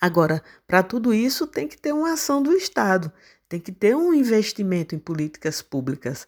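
At a medium pitch and moderate pace, a woman's voice moves through very wide pitch swings. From Pernambuco sertão, Brazil (Serra Talhada). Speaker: agronomist. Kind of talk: interview. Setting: remote call.

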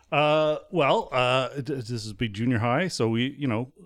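In a very clean recording with a silent background, a man talks in a normal speaking voice with ordinary pitch variation. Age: 40s. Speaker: podcast co-host. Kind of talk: casual chat.

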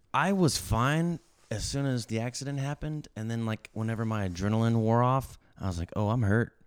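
In a normal speaking voice, a man talks fairly quickly at a medium pitch with ordinary pitch variation. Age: 30s. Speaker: magician. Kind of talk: casual chat.

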